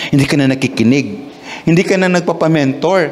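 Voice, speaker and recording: A man speaks with a Visayan accent. Noticeable background noise is present. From Visayas, Philippines. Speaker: pastor. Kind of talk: sermon. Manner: halting, with repetitions and fillers.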